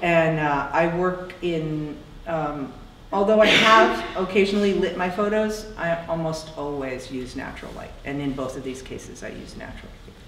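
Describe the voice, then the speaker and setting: A woman speaks with an American accent at a fairly low pitch. Noticeable noise sits in the background. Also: ordinary pitch variation, moderate pace. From New Jersey. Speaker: photographer, artist. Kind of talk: public conversation. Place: hall.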